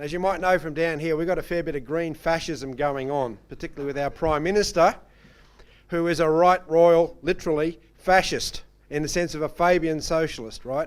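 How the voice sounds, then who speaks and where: With an Australian accent, a man speaks fairly quickly at a fairly high pitch and fairly even intonation. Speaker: conference host. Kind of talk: conference moderation.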